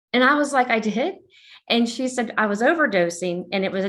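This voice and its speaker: Fairly quick, lively-intoned speech from a woman. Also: very clean recording, silent background. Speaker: police officer. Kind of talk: interview. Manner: casual, hesitant with fillers.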